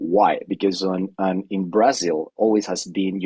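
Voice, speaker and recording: The voice comes at a fairly slow pace in a Spanish accent, with a dry, close sound and no echo. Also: man. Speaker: climate scientist. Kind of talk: webinar panel discussion. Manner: halting, many repetitions.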